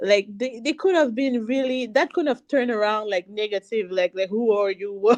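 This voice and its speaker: With a French accent and a fairly high pitch, a woman speaks with hardly any pauses in a dry, close sound with no echo. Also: ordinary pitch variation, moderate pace. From Canada, Haitian family, Montreal area. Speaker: singer and cosmetics business owner. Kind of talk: interview.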